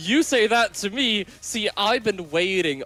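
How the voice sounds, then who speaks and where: With music in the background, a man speaks with a non-native accent. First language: not English. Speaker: esports commentator. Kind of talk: live commentary.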